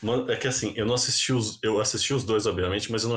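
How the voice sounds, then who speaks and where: Speaking very fast, a man with a fairly low pitch keeps his intonation fairly even and sounds somewhat breathy. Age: 20s. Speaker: podcast host. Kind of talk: casual chat.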